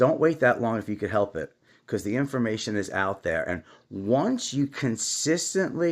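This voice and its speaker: A man at a medium pitch speaks at a moderate pace with vocal fry and very wide pitch swings. The recording is very clean, with a silent background. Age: 60s. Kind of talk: casual talk to camera. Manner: unscripted, emotional.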